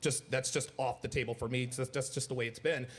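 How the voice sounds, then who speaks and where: The speech comes at a very fast pace and sounds somewhat breathy. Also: man. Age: 40s. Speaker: podcast guest. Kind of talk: panel discussion.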